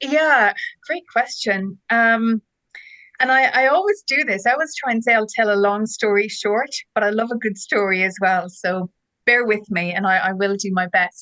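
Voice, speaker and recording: In an Irish accent, a woman with a fairly high pitch and a bright, sharp tone speaks at a moderate pace with ordinary pitch variation. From Ireland, Dublin. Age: 40s. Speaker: ed-tech co-founder, former teacher. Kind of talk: interview. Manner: enthusiastic.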